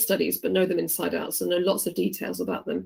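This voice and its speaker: A woman with a medium pitch and vocal fry speaks at a fairly quick pace with fairly even intonation. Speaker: teacher. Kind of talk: online revision lesson. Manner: fast.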